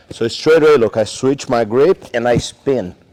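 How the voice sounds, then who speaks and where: With a Brazilian Portuguese accent, a man talks at a moderate pace in a medium pitch, the sound dry and close with no echo. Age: 40s. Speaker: jiu jitsu coach. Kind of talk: technique tutorial; casual interview chat.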